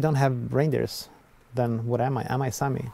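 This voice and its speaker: A man with a Swedish accent speaks at a moderate pace in a dark, mellow tone. His intonation stays flat and monotone, and the sound is dry with no echo. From southern Sweden. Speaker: artist, documentary subject. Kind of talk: documentary interview. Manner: halting. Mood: reflective, somewhat frustrated. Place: open country.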